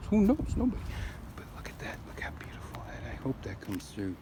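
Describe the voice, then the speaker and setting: Lively intonation marks a man's speech, with noticeable background noise behind it. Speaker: homeowner vlogger. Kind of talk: casual garden walkthrough vlog. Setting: outdoors in garden and street. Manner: rambling, hesitant with fillers.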